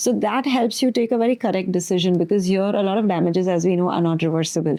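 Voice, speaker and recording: Over noticeable background noise, a woman talks at a very fast pace and medium pitch, with very even loudness and ordinary pitch variation. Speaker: doctor, podcast interviewer. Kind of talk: interview questions and commentary.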